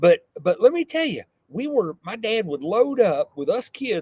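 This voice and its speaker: A man with a Texan accent and a dark, mellow tone makes very wide pitch swings in a dry, close sound with no echo. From Texas, south of San Antonio. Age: 60s. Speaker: entrepreneur. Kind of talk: interview. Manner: halting, repeats words.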